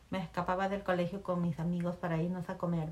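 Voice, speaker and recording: Her intonation is monotone and flat. This woman's voice is somewhat breathy. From Peru, Chimbote (coastal port city). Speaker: mother interviewed by her daughter. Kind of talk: casual family interview, storytelling.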